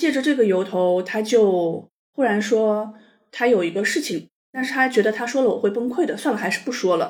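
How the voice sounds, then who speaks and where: A woman talks in a plain, everyday voice with a fairly high pitch. Her intonation is lively and her pace fairly quick. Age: 40s. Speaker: divorced mother sharing her story. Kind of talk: personal story interview. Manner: calm.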